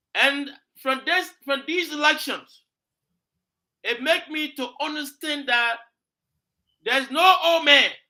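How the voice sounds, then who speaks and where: Raising and projecting his voice, a man speaks with an extremely high pitch and a bright, sharp tone. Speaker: talk show host. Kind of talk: political talk show discussion. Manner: animated.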